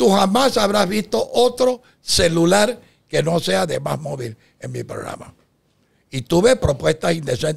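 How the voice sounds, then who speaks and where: Big swings in loudness and very wide pitch swings mark this man's high voice. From Panama. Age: 80s+. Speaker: boxing TV show producer. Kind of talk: podcast interview.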